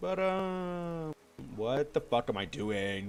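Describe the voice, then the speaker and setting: A man's pitch swings very widely as noticeable background noise plays behind him. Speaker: video game streamer. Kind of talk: casual gameplay stream chat. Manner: mellow and low. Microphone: voice a bit too quiet.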